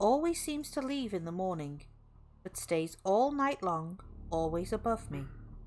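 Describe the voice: Someone does plain reading aloud with lively intonation.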